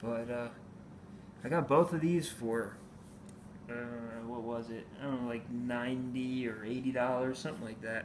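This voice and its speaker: With audible room echo, a man speaks at a moderate pace and medium pitch, using fairly even intonation and long, frequent pauses. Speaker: comic book collector vlogger. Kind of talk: casual haul video. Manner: hesitant, many fillers.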